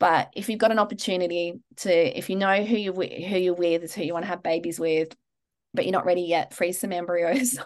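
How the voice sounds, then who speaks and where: A woman talks at a fairly quick pace with an Australian accent. Her pitch sits in the medium range. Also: ordinary pitch variation. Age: 40s. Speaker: Chinese medicine practitioner and acupuncturist. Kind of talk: interview.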